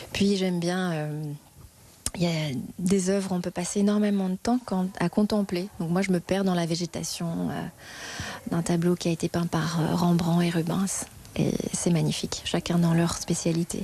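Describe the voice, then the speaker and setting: A woman speaks at a fairly low pitch. Her intonation is flat and monotone. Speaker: museum guide. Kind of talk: interview. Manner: fast.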